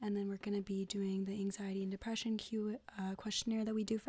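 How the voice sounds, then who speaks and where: A woman's dark, mellow, somewhat breathy voice at medium pitch, calm in tone, with monotone, flat intonation. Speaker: ASMR artist doing a nurse roleplay. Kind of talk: medical roleplay ASMR vital check. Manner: soft-spoken, calm.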